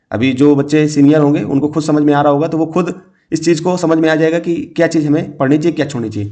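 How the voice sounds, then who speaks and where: Amid audible room echo, a man's fairly high voice carries a dark, mellow tone and ordinary pitch variation. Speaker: exam coaching teacher. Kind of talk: lecture.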